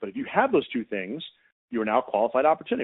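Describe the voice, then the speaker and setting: A man's medium-pitched voice at a very fast pace. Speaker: sales trainer. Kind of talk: presentation. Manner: animated.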